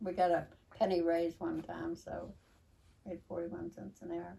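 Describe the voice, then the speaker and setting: Fairly slowly, a woman speaks at a fairly low pitch in an Appalachian accent. Her tone is dark and mellow, with vocal fry. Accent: Appalachian American. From West Virginia. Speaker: longtime local resident; interviewee. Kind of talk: oral history interview. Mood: reminiscing, conversational. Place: home room. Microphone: camera far.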